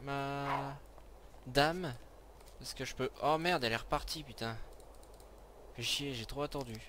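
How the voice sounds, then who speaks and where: A man speaks with a fairly high pitch and a bright, sharp tone. His fairly slow delivery is broken by long, frequent pauses. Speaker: gaming video creator. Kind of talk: let's play commentary. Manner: animated. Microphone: new headset mic, being tested.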